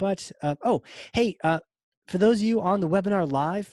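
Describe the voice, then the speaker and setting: With an American accent, an ordinary speaking voice talks at a moderate pace with lively intonation, in a dry, close recording with no echo and a quiet background. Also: man. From Virginia, US South. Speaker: podcast host. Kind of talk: webinar wrap-up. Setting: live webinar recording.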